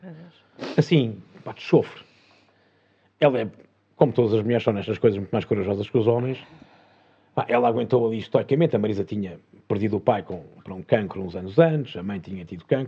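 Lively intonation at a very fast pace, broken by long, frequent pauses, with big swings in loudness. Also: man, medium pitch for a man. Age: 50s. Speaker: former TV and film professional turned entrepreneur. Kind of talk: interview conversation.

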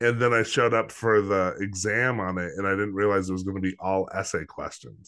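A bright, sharp tone at a fairly quick pace, with fairly even intonation over a quiet background. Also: man, fairly low pitch for a man. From northern New Mexico. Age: 40s. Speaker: podcast host. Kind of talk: casual interview.

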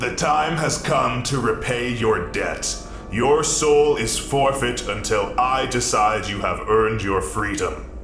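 Clear background music under a man doing a put-on character voice, fairly slow in pace. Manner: menacing, commanding.

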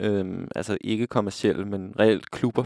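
Very clean and silent in the background, the recording holds a man's fairly low voice. He talks at a fairly slow pace in a flat monotone. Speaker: radio DJ. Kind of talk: casual radio presenting.

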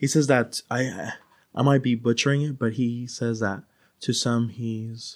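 On a very clean recording with a silent background, a man with a normal speaking voice, medium pitch and an American accent talks at a moderate pace with fairly even intonation. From US West Coast (San Diego, California). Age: 30s. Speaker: podcast guest. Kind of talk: casual chat; storytelling.

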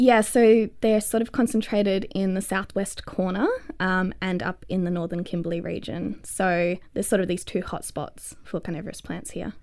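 With an Australian accent, a woman talks at a moderate pace and medium pitch, using ordinary pitch variation and hardly any pauses. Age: 20s. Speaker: botanist, PhD researcher. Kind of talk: casual interview.

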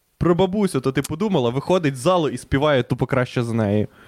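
The recording is very clean with a silent background and a dry, close sound with no echo. A man speaks at a fairly high pitch and a fairly quick pace with lively intonation. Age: 20s. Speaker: podcast co-host. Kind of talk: casual chat.

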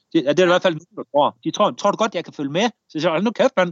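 A man's high pitch with lively intonation. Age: 40s. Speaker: war veteran. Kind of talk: interview storytelling. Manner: halting.

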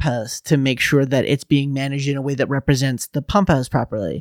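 A man with an ordinary speaking voice talks at a fairly high pitch with fairly even intonation. The sound is dry and close with no echo, and the recording is very clean over a silent background. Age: 30s. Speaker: theatre producer and stage manager. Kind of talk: casual chat. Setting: podcast interview.

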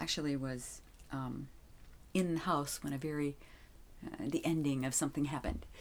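A woman's very deep, low voice with fairly even intonation, moderate pace, and long, frequent pauses. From Wisconsin, then moved around US. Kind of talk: faith interview, casual chat. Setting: home recording closet.

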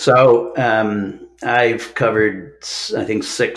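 Amid noticeable background noise, a man with a Midwestern American accent talks at a fairly low pitch in a monotone, flat intonation. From US Midwest, Omaha, Nebraska. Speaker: retired journalist. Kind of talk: interview. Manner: hesitant fillers.

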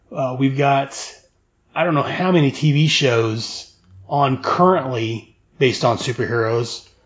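This man's voice sits at a fairly high pitch and sounds somewhat breathy. He talks at a very slow pace. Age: 40s. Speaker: podcast host. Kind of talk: casual chat.

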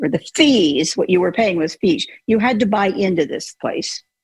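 A woman speaks at a moderate pace in a somewhat breathy voice. Her pitch swings very widely. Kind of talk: casual chat. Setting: video call.

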